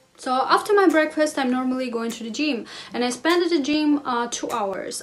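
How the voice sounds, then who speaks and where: Over noticeable background noise, a woman with a non-native accent talks in a high pitch with ordinary pitch variation. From Russia, Armenian family. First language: Russian or Armenian. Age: 20s. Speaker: lifestyle vlogger. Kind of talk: casual vlog talk to camera.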